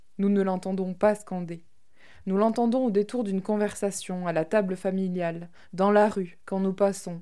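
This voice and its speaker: In a very clean recording with a silent background, a woman with a dark, mellow, medium-pitched voice speaks fairly slowly and with fairly even intonation. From Tarn, southern France. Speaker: documentary podcast producer. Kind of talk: scripted narration.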